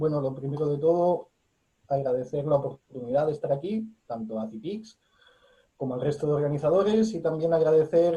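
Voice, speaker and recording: Somewhat breathy and dark, mellow in tone, the voice moves at a fairly slow pace with a Spanish accent. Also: man. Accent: Spanish (Spain). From Spain. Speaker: academic. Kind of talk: lecture.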